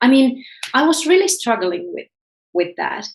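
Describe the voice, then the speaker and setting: This is a woman speaking with a Finnish accent. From Finland, Helsinki. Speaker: author and self-development coach. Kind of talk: interview. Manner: halting, repeats words.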